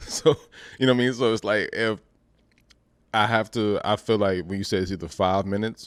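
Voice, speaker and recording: A man is speaking. His pace is moderate. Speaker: podcast host. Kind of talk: casual chat. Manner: monotone.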